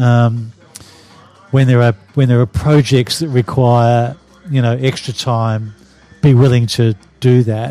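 A man with an Australian accent speaks at a medium pitch with fairly even intonation. His pace is fairly slow, with long, frequent pauses. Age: 60s. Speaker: retired advertising executive. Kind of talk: interview. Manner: halting.

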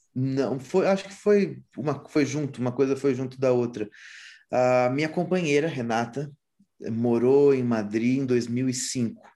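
Speaking at a fairly slow pace, a man has a medium pitch, a dark, mellow tone and ordinary pitch variation. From Brazil, interior of São Paulo state. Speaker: musician. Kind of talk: casual interview.

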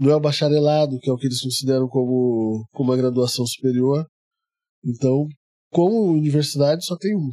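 A man speaks in a dark, mellow tone. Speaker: perfumer. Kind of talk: casual interview. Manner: calm, quiet.

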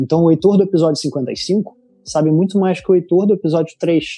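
Music plays in the background as a man talks in a high pitch. He speaks with a strong Rio de Janeiro accent. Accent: strong carioca. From Rio de Janeiro, Brazil. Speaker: designer and content creator. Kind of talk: casual interview chat.

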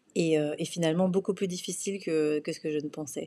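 A woman talks at a fairly quick pace. The recording is very clean with a silent background. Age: 30s. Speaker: podcast host, PR consultant. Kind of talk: solo podcast monologue. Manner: hesitant, many fillers and repetitions.

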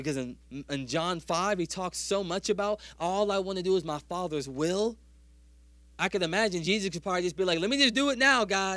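On a very clean recording with a silent background, a man with a high pitch, a bright, sharp tone, ordinary pitch variation and an animated tone speaks in a raised, projected voice at a fairly quick pace. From US South. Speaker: pastor. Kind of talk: sermon. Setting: church.

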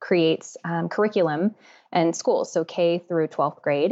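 A woman talks in a normal speaking voice at a moderate pace. Her pitch is fairly low, with ordinary variation. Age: 30s. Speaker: beauty YouTuber and makeup artist. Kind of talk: casual interview.

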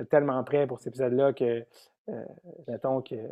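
The speaker is a man. He has a Quebec accent. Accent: Québécois French. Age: 30s. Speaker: comedian and podcaster. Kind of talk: casual chat.

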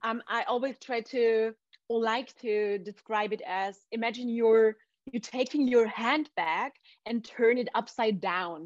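Someone with a German accent talks at a fairly slow pace, and the sound is dry and close with no echo. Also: woman, fairly high pitch for a woman, ordinary pitch variation. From Austria. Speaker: entrepreneur. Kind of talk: interview.

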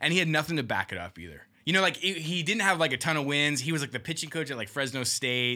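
Vocal fry colors this man's voice as he talks very fast. He barely pauses, and his intonation is lively. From Southern California. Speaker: clothing industry marketer. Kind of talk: casual chat.

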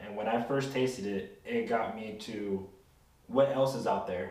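Fairly slow, fairly even speech comes through noticeable background noise and audible room echo. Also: man. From California Central Coast. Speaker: tequila enthusiast. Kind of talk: casual chat.

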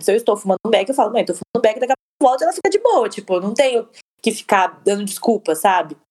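A woman's very fast delivery in a dry, close sound with no echo. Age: 20s. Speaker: podcast co-host. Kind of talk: casual chat.

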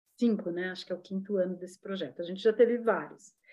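At a fairly quick pace, a woman talks in a normal speaking voice with ordinary pitch variation. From São Paulo, Brazil. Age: 60s. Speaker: dancer and ballet teacher. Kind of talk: casual chat.

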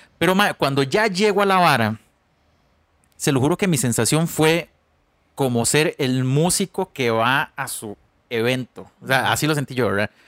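With a Costa Rican accent, a man speaks at a moderate pace in a fairly high pitch, his intonation lively and broken by long, frequent pauses, on a very clean recording with a silent background and a dry, close sound with no echo. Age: 30s. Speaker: podcast co-host, musician. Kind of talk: casual chat.

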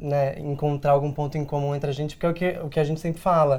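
A man's fairly high-pitched voice stays monotone, with flat intonation. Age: 20s. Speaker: actor and diversity consultant, online content creator. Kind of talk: interview. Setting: studio.

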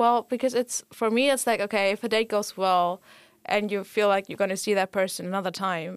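A woman speaks with a German accent in a dry, close sound with no echo. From Germany. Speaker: student association board member. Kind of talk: casual chat.

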